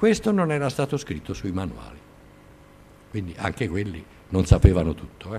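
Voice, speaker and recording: With light background noise behind it, the voice shows vocal fry, very wide pitch swings, big swings in loudness and long, frequent pauses. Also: man, fairly low pitch for a man, moderate pace. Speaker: lecturer on nuclear engineering. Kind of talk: lecture. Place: classroom.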